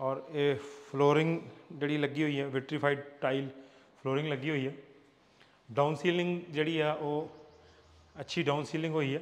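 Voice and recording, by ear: A man's fairly high voice at a moderate pace, with little rise and fall in pitch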